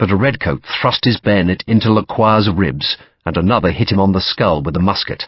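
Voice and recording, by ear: Someone reads aloud in a natural voice, pitch varying in an ordinary way.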